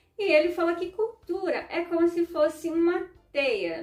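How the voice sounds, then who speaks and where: A woman at a moderate pace. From southern Brazil, Ukrainian community. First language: Ukrainian (speaking Portuguese). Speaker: vlogger and educator. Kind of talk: informal educational talk to camera. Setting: at home. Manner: conversational, frequent filler né.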